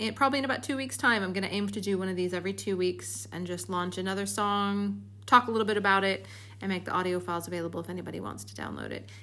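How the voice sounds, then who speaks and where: Talking at a very fast pace, a woman speaks with a Chicago accent. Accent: American, Chicago. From US Midwest, Chicago. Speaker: podcast host, musician. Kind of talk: podcast monologue.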